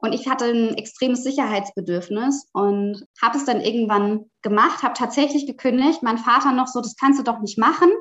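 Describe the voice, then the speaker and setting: A woman speaks at a moderate pace with a high pitch. Her pitch variation is ordinary. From Germany, Palatinate. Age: 30s. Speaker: author and sustainable fashion professional. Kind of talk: podcast interview.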